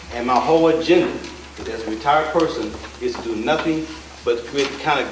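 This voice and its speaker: A man with an American accent talks at a very fast pace in a fairly high pitch, with noticeable background noise and audible room echo. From Dayton, Ohio. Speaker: political candidate. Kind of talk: campaign speech. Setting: candidates forum with audience. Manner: halting.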